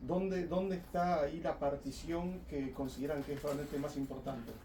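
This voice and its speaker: Against audible room echo, a man speaks at a fairly high pitch and moderate pace. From Argentina. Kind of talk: podcast panel discussion. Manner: halting, repeats words.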